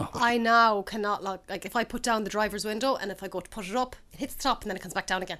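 A woman with an Irish accent talks very fast with hardly any pauses, her fairly high pitch held in fairly even intonation while her loudness swings widely. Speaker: food podcast host. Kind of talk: casual chat.

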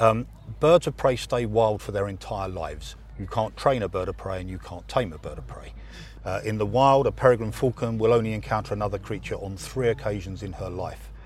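In an English accent, a man talks at a fairly quick pace with big swings in loudness. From England. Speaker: falconer. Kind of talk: interview.

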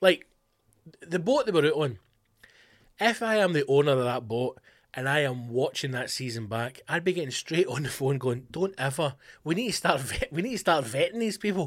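In a Scottish accent, a man with a fairly high pitch talks at a moderate pace with very wide pitch swings, on a very clean recording with a silent background. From West of Scotland. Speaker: comedian and podcast host. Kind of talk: casual solo chat. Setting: home studio.

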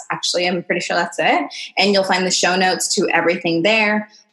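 Noticeable background noise beneath a woman speaking at a medium pitch. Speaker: podcast host. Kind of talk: solo podcast monologue. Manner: fast.

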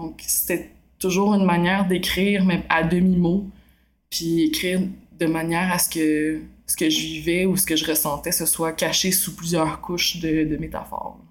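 In a Quebec accent, a woman talks at a fairly slow pace with flat, monotone intonation and a fairly low pitch, with audible room echo. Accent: Québécois French. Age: 20s. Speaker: novelist and film student. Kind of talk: interview. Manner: hesitant, many filler sounds.

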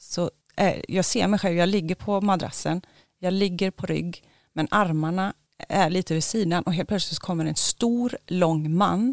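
A woman's ordinary speaking voice at medium pitch, fairly slow, with ordinary pitch variation, very clean and silent in the background, dry and close with no echo. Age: 40s. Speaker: dental hygienist, overnight ghost-hunt participant. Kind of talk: casual interview.

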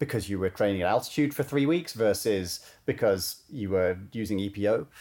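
A man with a fairly low pitch and ordinary pitch variation talks at a moderate pace. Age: 30s. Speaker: ultramarathon runner and coach. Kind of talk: podcast interview. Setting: remote call from home. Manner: halting, many repeated words.

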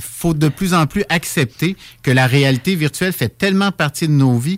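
A man with an unremarkable speaking voice, fairly high pitch and lively intonation, at a fairly slow pace, in a very clean, dry, close recording with a silent background and no echo. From Quebec, Laurentides (Saint-Jérôme). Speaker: monthly radio columnist on pilgrimage. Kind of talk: radio chronicle discussion.

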